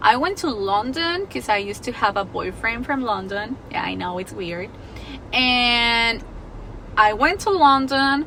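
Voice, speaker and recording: A woman with a Spanish accent speaks in a bright, sharp, fairly high voice with lively intonation. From Mexico, Guadalajara. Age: 20s. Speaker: vlogger. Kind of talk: personal storytelling vlog. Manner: casual, chatty.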